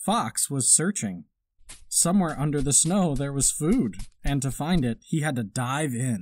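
A man with a normal speaking voice, fairly high pitch and lively intonation, at a fairly slow pace. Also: very clean recording, silent background. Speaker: parent reading to children. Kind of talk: children's picture book read-aloud.

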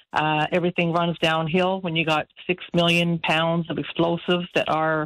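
At a moderate pace, a woman talks in a fairly low pitch with monotone, flat intonation against a quiet background. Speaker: radio caller. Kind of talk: call-in opinion talk. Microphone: phone line.

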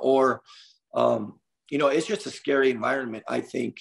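A man with an American accent and vocal fry, at a moderate pace against a quiet background. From US West Coast (Los Angeles area). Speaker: basketball coach. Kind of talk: interview. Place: home room.

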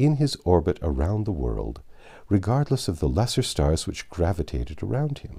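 An unforced reading voice carries the clip.

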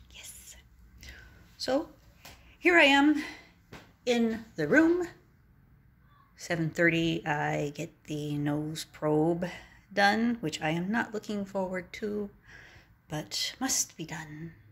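Speaking at a very slow pace, a woman uses very wide pitch swings and big swings in loudness, with long, frequent pauses. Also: medium pitch for a woman. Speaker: vlogger; traveler vlogger. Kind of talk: casual chat. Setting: motel room. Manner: short bursts, halting. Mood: wry, self-mocking. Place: home room. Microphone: phone near.

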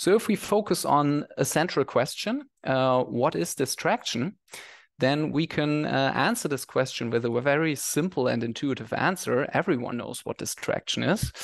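A man at a moderate pace, with a quiet background and dry sound with no echo. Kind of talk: lecture. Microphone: headset.

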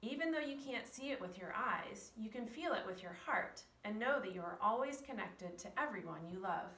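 The speaker moves at a fairly quick pace with lively intonation and hardly any pauses. Audible room echo surrounds the voice. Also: woman, fairly high pitch for a woman. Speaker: preschool teacher reading a story. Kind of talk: bedtime story reading, read aloud to children. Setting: video recording for preschool children. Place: classroom. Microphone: camera far.

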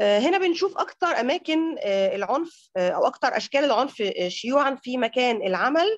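A woman's high-pitched voice at a fairly slow pace, with very wide pitch swings, hardly any pauses and a quiet background. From Egypt. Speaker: gender researcher; presenter. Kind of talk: presentation. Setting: video call. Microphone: video call.

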